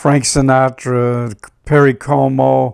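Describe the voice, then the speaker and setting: A man with a northeastern Pennsylvania accent. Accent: northeastern Pennsylvania American. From northeastern Pennsylvania, Scranton. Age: 80s+. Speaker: retired doo-wop singer. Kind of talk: reminiscing interview. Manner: halting.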